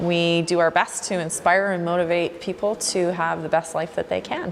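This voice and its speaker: A woman with a Canadian accent and a fairly low pitch speaks at a moderate pace. Her intonation is monotone and flat, with noticeable background noise. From Canada, Vancouver Island, British Columbia. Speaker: fitness trainer, gym owner. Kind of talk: documentary interview.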